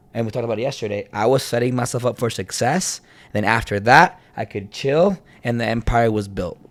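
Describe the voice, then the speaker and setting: A man talks in an ordinary speaking voice at medium pitch. His pace is fairly quick and his pitch varies in an ordinary way. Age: 30s. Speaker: podcast co-host. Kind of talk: casual chat.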